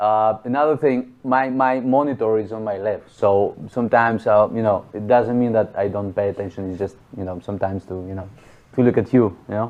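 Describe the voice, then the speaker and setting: The speech runs fairly quickly, and its pitch varies in an ordinary way. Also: man, fairly low pitch for a man. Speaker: percussionist. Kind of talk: interview. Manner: soft.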